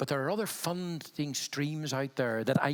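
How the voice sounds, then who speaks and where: At a moderate pace, a man speaks in a Belfast accent. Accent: Belfast accent, retained. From Northern Ireland, Belfast. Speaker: health funding consultant, panelist. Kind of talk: panel discussion. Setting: conference stage with audience.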